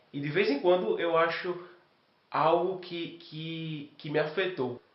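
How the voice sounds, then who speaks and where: A man at a fairly high pitch, with audible room echo. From Brazil, Recife (Pernambuco). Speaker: exchange student. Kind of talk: interview testimony.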